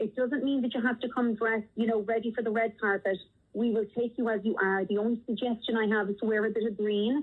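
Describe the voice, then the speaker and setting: A woman's fairly high, monotone voice with flat intonation, a strong Irish accent, a very fast pace and very even loudness. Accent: Irish, strong despite thirty years in US. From Ireland, Dublin. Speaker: theater nonprofit founder. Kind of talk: radio interview.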